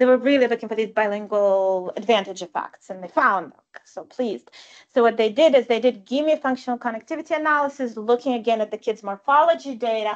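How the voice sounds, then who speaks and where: Her pace is very fast and her pitch fairly high. This woman's loudness swings a lot, while her pitch varies in an ordinary way. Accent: Russian. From Russia / former Soviet Union. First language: Russian. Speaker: professor. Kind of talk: lecture. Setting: live-streamed talk with audience. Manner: conversational, frequent fillers.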